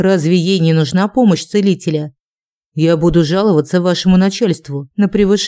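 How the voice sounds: The clip has a natural reading voice. The background is quiet.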